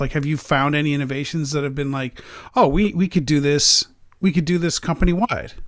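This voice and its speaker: This man has a fairly high pitch and a normal speaking voice, with ordinary pitch variation, captured on a very clean recording against a silent background. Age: 40s. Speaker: podcast host. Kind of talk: casual interview.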